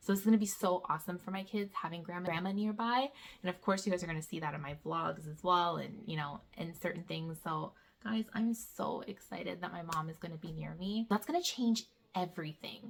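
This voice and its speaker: Speaking at a fairly quick pace, a woman uses a fairly low pitch, ordinary pitch variation and an animated tone, her voice somewhat breathy. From Canada. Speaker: homeschool vlogger. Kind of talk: casual vlog update.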